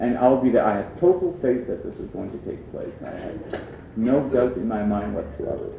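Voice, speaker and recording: A man with an Acadian accent at a moderate pace, big swings in loudness, audible room echo and noticeable background noise. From Canada, Prince Edward Island (Acadian). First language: Acadian French. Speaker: lecturer. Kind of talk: lecture.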